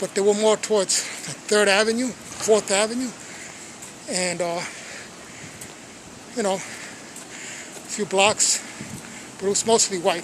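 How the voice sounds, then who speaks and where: Over noticeable background noise, a man with an American accent speaks in a high voice at a very slow pace. His intonation is fairly even, with long, frequent pauses. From Brooklyn, New York (Sunset Park). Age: 60s. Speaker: storyteller / channel host. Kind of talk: personal storytelling monologue. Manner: casual, conversational.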